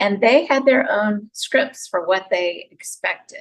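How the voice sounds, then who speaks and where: A woman in a Southern US accent talks at a medium pitch with lively intonation. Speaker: psychologist and relationship speaker. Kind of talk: podcast interview.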